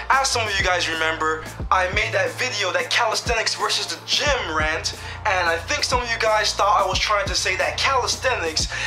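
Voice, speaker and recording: A man's high-pitched voice at a moderate pace, with ordinary pitch variation and clear music in the background. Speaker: fitness vlogger. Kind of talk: casual vlog chat. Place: home room. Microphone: webcam.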